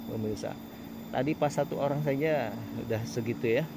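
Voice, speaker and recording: Noticeable background noise sits under a man's voice. He speaks at a moderate pace, and the sound is dry with no echo. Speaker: village vlogger. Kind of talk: casual vlog commentary. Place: open country. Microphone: phone near.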